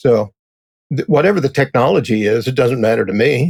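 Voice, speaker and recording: A man talks at a moderate pace in a normal speaking voice of medium pitch. The sound is dry and close, without echo. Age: 60s. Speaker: technical writer. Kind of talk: interview.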